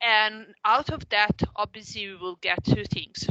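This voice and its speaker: A woman talks at a moderate pace with an Italian accent. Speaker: professor. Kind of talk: lecture. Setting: video call. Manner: halting.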